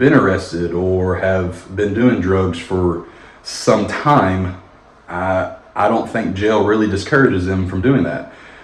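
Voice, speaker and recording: An American accent, with audible room echo and noticeable background noise. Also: man. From Kentucky, Madisonville. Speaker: former police officer. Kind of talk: documentary interview.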